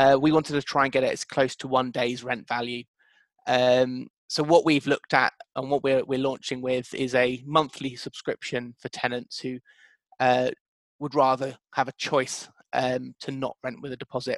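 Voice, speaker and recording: In a British accent, the voice comes across with monotone, flat intonation and a dry, close sound with no echo. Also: man, medium pitch for a man, moderate pace. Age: 20s. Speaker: co-founder of a tenancy deposit startup. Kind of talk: interview.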